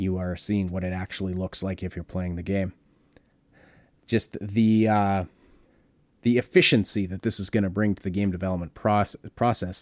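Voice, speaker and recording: In a very clean recording with a silent background, a man with a very deep, low pitch speaks at a moderate pace in a monotone, flat intonation, leaving long, frequent pauses. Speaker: podcast host. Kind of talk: casual chat. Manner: halting.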